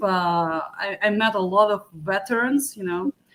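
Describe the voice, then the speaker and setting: Listen to a woman with a Ukrainian accent. Her pitch varies in an ordinary way. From Ukraine. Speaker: beauty pageant contestant and musician. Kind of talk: interview.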